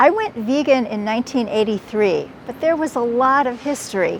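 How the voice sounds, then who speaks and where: A woman with a high voice speaks with lively intonation in a General American accent. Noticeable background noise runs underneath. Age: 70s. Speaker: author and podcaster. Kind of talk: interview answer.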